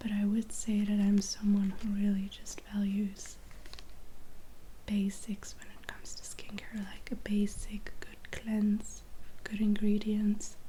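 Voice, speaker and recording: Soft-spoken and medium in pitch, a woman talks in monotone, flat intonation. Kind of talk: ASMR skincare ramble.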